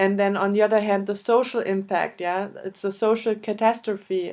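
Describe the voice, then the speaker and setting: This woman speaks with a German accent at a medium pitch. Her intonation is flat and monotone. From Germany. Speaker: interviewer, volunteer association board member. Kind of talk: interview. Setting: video call. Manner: halting, hesitant.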